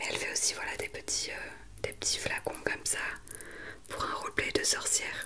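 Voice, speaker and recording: Whispering at a moderate pace, the woman is heard over noticeable background noise. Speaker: ASMR creator. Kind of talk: casual talk to camera, ASMR update.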